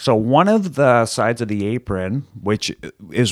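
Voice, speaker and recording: A man with an American accent speaks at medium pitch with very wide pitch swings. The recording is very clean, with a silent background. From Michigan, Detroit area (Plymouth). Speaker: professional wrestler. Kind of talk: casual chat.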